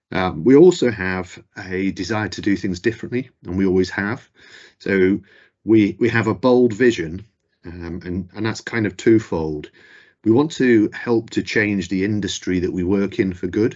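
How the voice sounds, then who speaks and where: A man with a fairly low-pitched voice speaks at a moderate pace. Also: ordinary pitch variation. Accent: Mancunian. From northern England, Manchester. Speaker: company chief executive. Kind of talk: corporate presentation.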